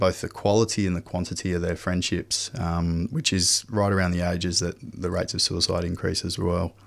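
A man with an Australian accent, very deep and low in pitch, at a moderate pace. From Western Australia, Perth. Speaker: men's health program manager, former nurse. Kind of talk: radio interview.

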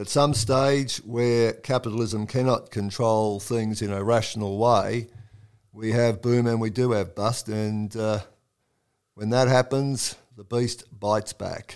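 At a fairly slow pace, a speaker with an Australian accent talks in a flat monotone on a very clean recording with a silent background. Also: man, medium pitch for a man. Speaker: oral history interviewer. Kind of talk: casual interview conversation.

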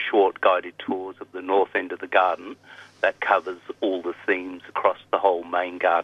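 A man speaks with an Australian accent. His voice is very deep and low. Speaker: botanic garden volunteer. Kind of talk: casual chat. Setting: phone call.

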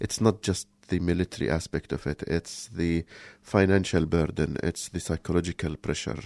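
A man with an Arabic accent, very deep and low in pitch, at a moderate pace with ordinary pitch variation, dry and close with no echo, over a quiet background. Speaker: community radio co-host. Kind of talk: casual chat. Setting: studio. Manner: halting.

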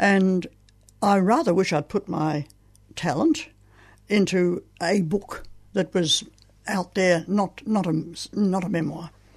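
With an Australian accent, a woman speaks very slowly and somewhat breathily at medium pitch, using ordinary pitch variation and long, frequent pauses, over a quiet background. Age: 80s+. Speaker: playwright. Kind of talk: author interview. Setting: radio studio. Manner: halting.

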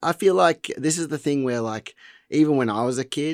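A man with a normal speaking voice at medium pitch, lively intonation and a moderate pace, in a dry, close sound with no echo on a very clean recording with a silent background. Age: 30s. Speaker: punk musician. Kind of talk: song introduction; interview.

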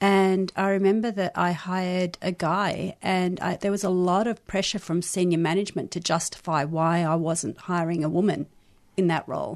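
Over a quiet background, a woman with an Australian accent speaks at a moderate pace and medium pitch with fairly even intonation. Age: 50s. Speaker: sex educator and activist. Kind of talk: radio interview.

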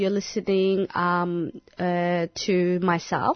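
A woman talks at a medium pitch. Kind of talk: radio presenter patter. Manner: bubbly, laughing, friendly.

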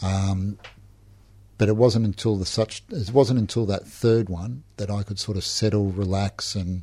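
In a very clean recording with a silent background, a man with an Australian accent speaks at a fairly low pitch, his dark, mellow tone somewhat breathy and his intonation fairly even. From Melbourne, Australia. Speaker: recovering alcoholic. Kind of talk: personal testimony. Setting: radio studio. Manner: halting, many fillers.

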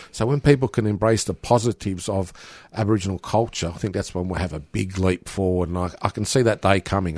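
A man's very deep, low voice at a very fast pace with ordinary pitch variation, dry and close with no echo, over a very clean, silent background. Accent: Australian. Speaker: community radio broadcaster and musician. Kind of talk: interview.

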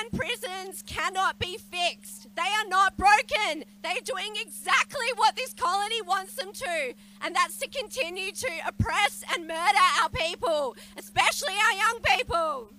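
Projecting a raised voice over noticeable background noise, a woman with an Australian accent speaks at an extremely high pitch, fairly slow pace and lively intonation. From Western Australia (Noongar). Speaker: lawyer and campaigner. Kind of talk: rally speech. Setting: outdoor protest rally.

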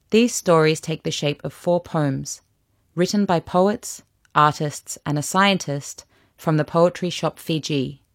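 A woman with an ordinary speaking voice talks at a fairly slow pace and fairly low pitch with ordinary pitch variation, in a dry, close sound with no echo on a very clean recording with a silent background. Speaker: narrator introducing poems. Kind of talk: scripted narration.

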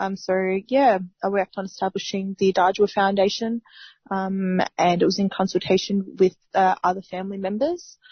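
The woman's voice is somewhat breathy. Her intonation stays fairly even. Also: medium pitch for a woman, moderate pace. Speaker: justice campaigner and foundation founder. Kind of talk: radio interview.

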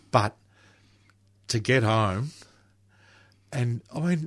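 A man speaks at medium pitch with ordinary pitch variation and a somewhat breathy quality, recorded very cleanly against a silent background. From Melbourne, Australia (northern suburbs). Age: 60s. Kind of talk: radio interview.

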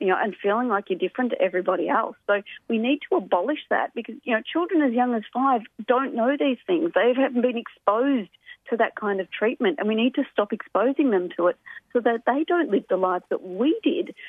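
Her pitch swinging very widely, a woman with an Australian accent talks at a fairly quick pace in a fairly high voice. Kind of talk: radio interview.

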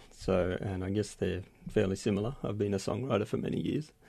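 In a quiet background, a man speaks with a fairly low pitch. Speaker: poet. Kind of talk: poetry reading. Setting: studio. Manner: calm, steady reader.

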